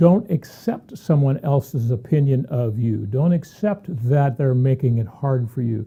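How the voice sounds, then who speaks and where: Speaking at a fairly slow pace, a man with a medium-pitched, dark, mellow, somewhat breathy voice uses lively intonation. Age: 60s. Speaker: tax consultant. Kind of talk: opinion monologue. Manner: animated.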